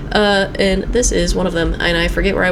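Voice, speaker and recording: A woman speaks with lively intonation amid audible room echo and noticeable background noise. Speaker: gaming YouTuber. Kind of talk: let's play commentary. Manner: fast; animated.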